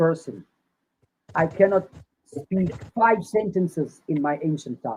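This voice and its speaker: A man talks in a dark, mellow tone with ordinary pitch variation. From South Africa, Cape Town. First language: Afrikaans. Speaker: Rastafari activist and lawyer. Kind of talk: interview testimony.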